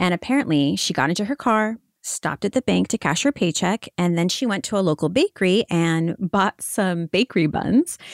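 With a plain, everyday voice, a woman speaks at medium pitch and a moderate pace, with lively intonation, very even loudness and hardly any pauses, in a very clean recording with a silent background and a dry, close sound without echo. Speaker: podcast host. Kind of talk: casual true-crime discussion.

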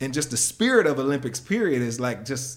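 A man speaks at medium pitch. He has an ordinary speaking voice. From United States. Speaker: former professional sprinter, track analyst. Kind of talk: casual interview.

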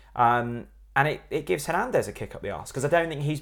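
A man with a fairly high pitch and vocal fry talks at a very fast pace with lively intonation on a very clean recording with a silent background. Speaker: football podcast host. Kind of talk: casual banter. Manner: joking, banter.

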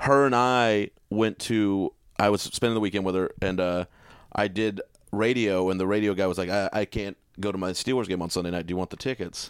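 A man with an American accent and a normal speaking voice talks at a fairly quick pace, pitched fairly low, with fairly even intonation. The sound is dry and close without echo, in a very clean recording over a silent background. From Texas, Fort Worth. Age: 30s. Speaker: comedian. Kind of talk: casual chat.

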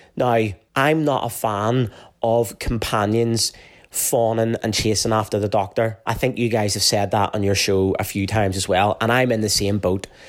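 Speaking with a Northern Irish accent, a man talks at a moderate pace in a fairly low pitch, his loudness very even and his intonation fairly even too. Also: very clean recording, silent background. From Northern Ireland. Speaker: fan submitting a response. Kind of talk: playful recorded listener response.

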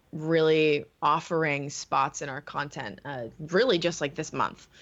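Against a quiet background, a woman talks very slowly in a very deep, low pitch. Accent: American. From California. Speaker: watch video channel co-founder. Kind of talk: interview.

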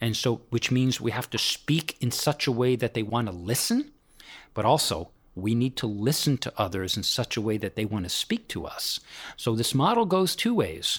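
The recording is very clean with a silent background. A man with an unremarkable speaking voice talks at medium pitch and a moderate pace, using lively intonation. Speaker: executive coach. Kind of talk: interview. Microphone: poor sound quality.

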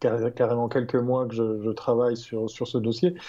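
A man talks at a moderate pace with a medium pitch. He has a plain, everyday voice. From Switzerland, canton of Vaud. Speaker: tech columnist. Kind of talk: casual chat.

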